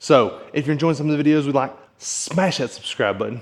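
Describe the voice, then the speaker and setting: A man talking at a very fast pace. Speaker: blacksmith. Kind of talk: tutorial. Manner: casual.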